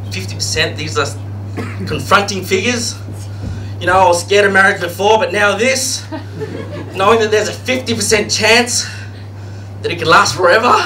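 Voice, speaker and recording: Music plays behind a man with a strong Australian accent who speaks at a fairly quick pace in a fairly high voice, with very wide pitch swings, long, frequent pauses and audible room echo. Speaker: stand-up comedian. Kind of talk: stand-up. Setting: stage with audience.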